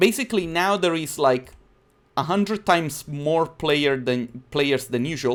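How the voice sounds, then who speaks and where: The speaker talks at a fairly slow pace in an Italian accent, with ordinary pitch variation. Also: man. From southern Italy (Naples area); southern Italy. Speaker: 3D designer and YouTuber; YouTuber. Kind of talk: live-stream tutorial. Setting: live stream. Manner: casual, chatty. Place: home room.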